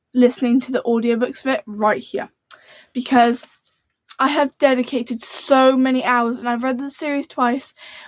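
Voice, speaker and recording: Her voice is high in pitch and moves at a moderate pace, the sound dry and close with no echo. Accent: British. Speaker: book youtuber. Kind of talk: casual chat. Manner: animated.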